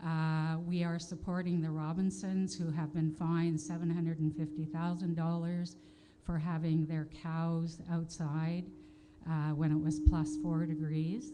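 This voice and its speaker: In a Canadian accent, a woman speaks fairly slowly at a fairly low pitch with monotone, flat intonation, with noticeable background noise and audible room echo. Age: 60s. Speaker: audience member at conference. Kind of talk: audience question at conference. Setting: conference hall with audience. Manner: hesitant, many fillers.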